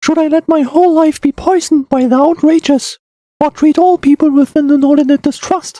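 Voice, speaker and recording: A put-on character voice talks at a fairly quick pace with a high pitch. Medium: read story. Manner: soft, warm, earnest.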